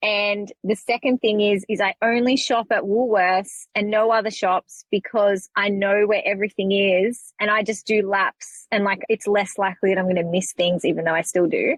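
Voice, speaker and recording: A woman at medium pitch, moderate pace, very even loudness and fairly even intonation, with hardly any pauses. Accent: Australian. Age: 30s. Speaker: podcast guest, mother with ADHD. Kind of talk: casual chat.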